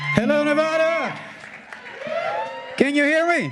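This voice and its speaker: Pitch swings very widely throughout. Noticeable background noise sits underneath. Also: man. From Ethiopia. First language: not English. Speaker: state legislator. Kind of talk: public speech. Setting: stage with audience.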